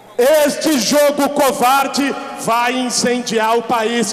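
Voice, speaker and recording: A man speaks with audible room echo. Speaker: speaker. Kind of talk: political speech. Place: street. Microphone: pa.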